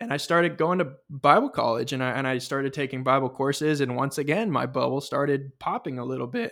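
In an ordinary speaking voice, a man with an American accent talks at a fairly quick pace and a fairly high pitch on a very clean recording with a silent background. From California. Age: 20s. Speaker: podcast host. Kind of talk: personal testimony.

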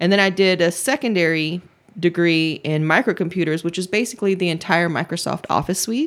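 Fairly low in pitch, this woman has a normal speaking voice with an American accent. She speaks at a fairly quick pace. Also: ordinary pitch variation. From Georgia, US South. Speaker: entertainment website owner. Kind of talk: casual chat.

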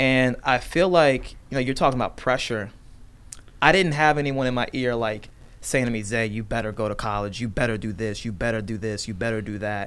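The man's voice is medium in pitch and varies in an ordinary way. He moves along at a fairly quick pace. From Virginia, US. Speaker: real estate agent. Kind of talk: casual chat. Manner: animated.

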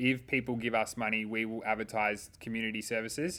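A man with an Australian accent and fairly even intonation. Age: 30s. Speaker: youth and social work podcast co-host. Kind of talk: casual chat.

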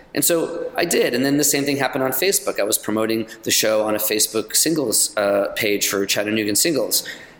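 A man with an American accent speaks at a fairly quick pace in a medium pitch. Noticeable background noise is present. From New York. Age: 50s. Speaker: comedian. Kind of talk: casual chat.

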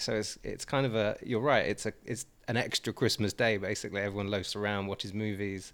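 This man, with an English accent, has a fairly low pitch and fairly even intonation, talking at a fairly quick pace in a very clean recording with a silent background. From Swindon, England. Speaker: guest. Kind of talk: casual banter.

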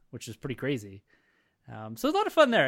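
Speaking very fast, a man is captured on a very clean recording against a silent background. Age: 30s. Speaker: podcast host. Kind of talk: casual chat. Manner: animated.

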